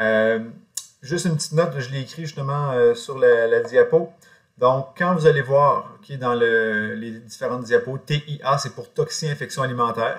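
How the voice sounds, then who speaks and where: Loudness swings widely while the pace stays moderate and the pitch varies in an ordinary way. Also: man. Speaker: college teacher. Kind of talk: lecture. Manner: hesitant, many fillers.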